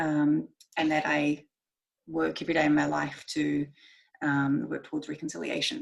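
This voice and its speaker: A woman speaks with a New Zealand accent. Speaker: marine scientist, guest speaker. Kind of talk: presentation talk. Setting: video call from home bedroom. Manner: fast.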